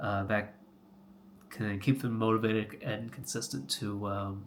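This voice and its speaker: With an American accent, this man talks at a fairly low pitch, using vocal fry and ordinary pitch variation. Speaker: health coach, vlogger. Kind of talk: casual vlog monologue. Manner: halting, many fillers.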